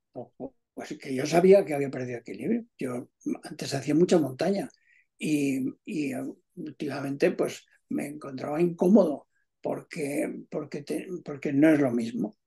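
A man with a fairly high voice for a man and a dark, mellow tone speaks at a fairly slow pace, somewhat breathy, with ordinary pitch variation and big swings in loudness against a quiet background. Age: 70s. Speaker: amateur tennis player. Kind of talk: casual chat. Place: home room. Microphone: video call.

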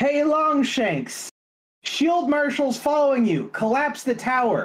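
A female-sounding voice puts on a character voice, pitched high. She speaks at a fairly slow pace. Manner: yelling.

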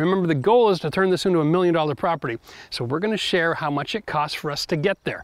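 A man talks at a very fast pace with ordinary pitch variation, his voice dry with no echo against a quiet background. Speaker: home renovation channel host. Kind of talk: casual vlog chat. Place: garden.

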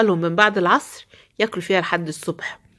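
A woman with an Egyptian accent speaks at a moderate pace. Her tone is animated. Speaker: poultry-keeping video creator. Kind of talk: home tutorial. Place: farm. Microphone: phone near.

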